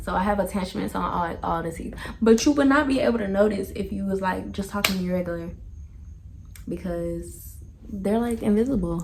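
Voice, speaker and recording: The voice moves at a fairly quick pace. Noticeable background noise and audible room echo fill the recording. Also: woman. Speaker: family vlogger. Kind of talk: casual Q&A vlog. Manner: casual, chatty.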